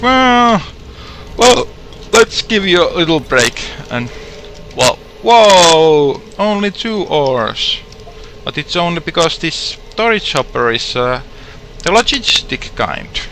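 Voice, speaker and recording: This man's voice sits high for a male and swings very widely in pitch. He talks very slowly, with long, frequent pauses, over noticeable background noise. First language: not English. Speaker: gaming streamer. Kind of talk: live game commentary. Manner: halting with self-corrections; a little loud.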